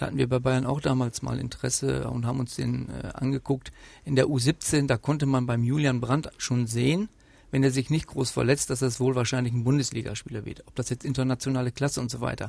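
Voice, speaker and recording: A medium-pitched man's voice, somewhat breathy and fairly quick, with monotone, flat intonation. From Westphalia, Germany (Rheine). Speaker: football sporting director. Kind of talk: interview. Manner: hesitant, many fillers.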